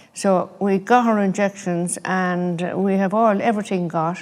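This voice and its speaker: This woman speaks with an Irish Midlands accent at a medium pitch. Her intonation is fairly even. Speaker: grandparent. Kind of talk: interview testimony.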